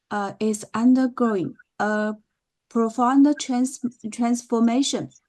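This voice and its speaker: A woman with a Chinese accent, fairly high-pitched, with a dark, mellow tone and a very slow pace. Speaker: professor. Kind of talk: lecture. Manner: halting.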